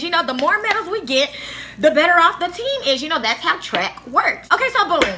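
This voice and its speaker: A woman with an extremely high pitch talks in a raised, projected voice, her animated tone swinging very widely in pitch at a fairly quick pace. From Africa. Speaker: YouTuber. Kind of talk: storytelling. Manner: animated casual; stuttering, halting at times.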